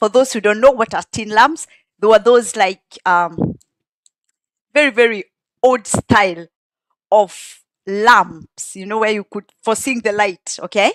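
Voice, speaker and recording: With a Kenyan accent, a woman at a fairly high pitch speaks at a fairly slow pace with long, frequent pauses and big swings in loudness, in a dry, close sound with no echo. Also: ordinary pitch variation. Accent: Kenyan (Kikuyu) English. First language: Kikuyu. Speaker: song translator and commentator. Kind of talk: casual explanatory commentary.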